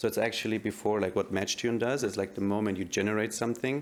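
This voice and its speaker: A man with a German accent speaks with fairly even intonation. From Germany. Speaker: tech startup CEO, AI researcher. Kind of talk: panel discussion. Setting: stage with audience.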